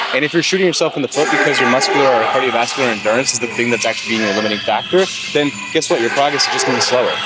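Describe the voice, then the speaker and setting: Music plays behind a man who talks at a very fast pace with very even loudness, a fairly high pitch and ordinary pitch variation, with audible room echo. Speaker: fitness vlogger. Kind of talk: workout vlog talk. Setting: gym. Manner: casual, conversational.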